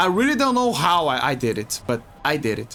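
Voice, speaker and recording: With a bright, sharp tone, a man speaks at a fairly slow pace in a high pitch that makes very wide swings. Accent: Portuguese. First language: Portuguese. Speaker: video game streamer. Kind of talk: casual livestream commentary. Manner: halting, many repetitions and fillers.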